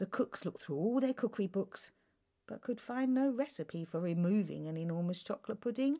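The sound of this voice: Lively intonation in an unforced reading voice, with the background quiet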